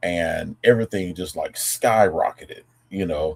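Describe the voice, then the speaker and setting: A man with a Southern US accent, at a fairly slow pace. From Tennessee. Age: 40s. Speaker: vocabulary educator streamer. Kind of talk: casual live stream talk. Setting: live stream. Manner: halting, many fillers and restarts.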